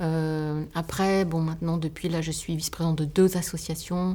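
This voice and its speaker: A woman speaks in a fairly low pitch with a dark, mellow tone. Her intonation is monotone and flat, at a moderate pace. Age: 50s. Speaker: bookbinder and entrepreneur. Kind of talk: podcast interview. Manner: halting.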